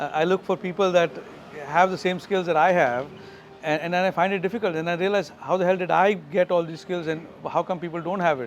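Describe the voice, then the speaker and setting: Against noticeable background noise, a man with a Keralan accent speaks at a very fast pace in a high pitch with fairly even intonation. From India, Goa. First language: Malayalam. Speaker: tech company founder and CEO. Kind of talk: interview. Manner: halting, many fillers and repetitions.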